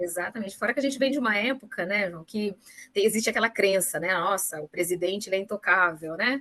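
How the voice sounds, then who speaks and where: Very fast, a woman at medium pitch talks with ordinary pitch variation. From Brazil, São Paulo state interior (Pindamonhangaba). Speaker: supply chain manager. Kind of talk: interview.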